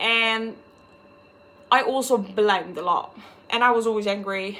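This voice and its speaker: A woman's fairly high voice with a bright, sharp tone, a Dutch accent and fairly even intonation. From Netherlands. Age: 20s. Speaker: vlogger. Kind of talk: personal vlog monologue.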